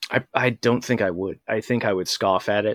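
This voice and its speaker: A man's fairly low voice in an American accent, fairly quick and fairly even in intonation, dry and close with no echo. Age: 30s. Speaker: podcast host and online group moderator. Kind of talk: casual interview. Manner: halting, frequent word repetitions.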